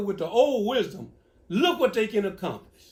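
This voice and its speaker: A man with a Louisiana accent, high-pitched, with very wide pitch swings and a moderate pace. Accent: Southern US (Louisiana). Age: 70s. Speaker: elder giving advice. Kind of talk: casual Q&A.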